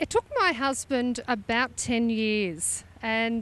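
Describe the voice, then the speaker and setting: This woman has a high-pitched voice. She speaks with an Australian accent. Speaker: classic truck owner. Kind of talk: interview.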